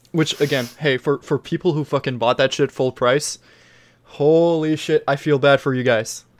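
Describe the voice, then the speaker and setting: In an unremarkable speaking voice, a man speaks at a moderate pace with a fairly high pitch and fairly even intonation. The sound is dry and close, with no echo. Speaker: podcast host. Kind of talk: casual chat.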